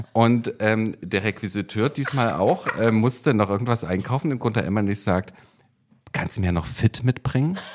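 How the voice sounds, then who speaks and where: A man speaks in a plain, everyday voice. His pitch is medium, his pace moderate, and his pitch variation ordinary. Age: 40s. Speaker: podcast co-host, TV producer. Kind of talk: casual chat.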